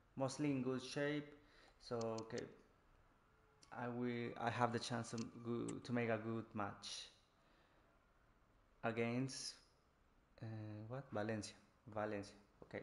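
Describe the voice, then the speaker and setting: A man with a Spanish accent speaks at a medium pitch and a fairly slow pace. His delivery is monotone and flat, with long, frequent pauses. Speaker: gaming streamer. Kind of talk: live gameplay commentary. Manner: halting, many restarts.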